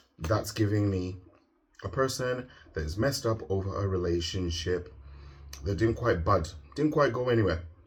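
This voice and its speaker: A man's fairly low voice, with ordinary pitch variation, carries audible room echo. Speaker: tarot reader. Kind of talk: tarot reading.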